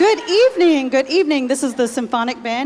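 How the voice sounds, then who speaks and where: A woman with a Texas accent, ordinary pitch variation and a moderate pace. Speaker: school band director. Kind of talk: concert announcement. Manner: casual, with fillers.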